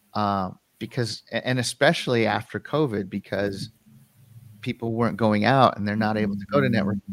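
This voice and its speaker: In a normal speaking voice, a man with fairly low pitch talks at a fairly quick clip with ordinary pitch variation, the sound dry and close with no echo. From Western Colorado, US. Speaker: filmmaker and video producer. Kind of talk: casual interview.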